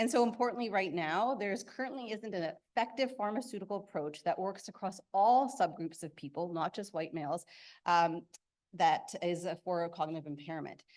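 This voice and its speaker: Against a quiet background, a woman with a fairly low pitch talks at a fairly quick pace with lively intonation. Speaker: researcher presenting at a conference. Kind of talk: conference talk. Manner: fast.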